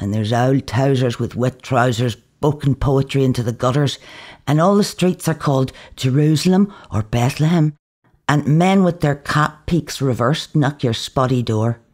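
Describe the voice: The voice has a slightly mellow tone, a moderate pace and ordinary pitch variation.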